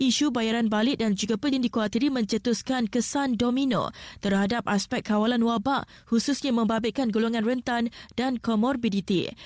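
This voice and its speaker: This is an ordinary speaking voice with fairly even intonation, moving at a fairly quick pace. The recording is very clean, with a silent background. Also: woman. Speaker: news presenter. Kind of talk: news reading. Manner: formal.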